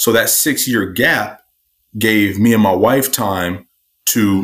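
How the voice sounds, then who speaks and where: A man's fairly low voice, a plain, everyday voice with ordinary pitch variation, in a very clean recording with a silent background. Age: 40s. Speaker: entrepreneur and author. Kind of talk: casual interview.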